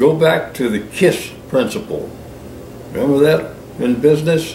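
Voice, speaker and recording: A man's fairly high voice at a fairly slow pace, with ordinary pitch variation, audible room echo and noticeable background noise. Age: 80s+. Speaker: writer and retired businessman. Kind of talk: extemporaneous monologue. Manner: unscripted, some hesitations.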